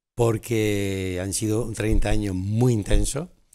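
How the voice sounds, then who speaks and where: Speaking at a very slow pace, a man keeps his intonation fairly even. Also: quiet background. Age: 70s. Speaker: carnival organizer. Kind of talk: TV interview. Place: studio.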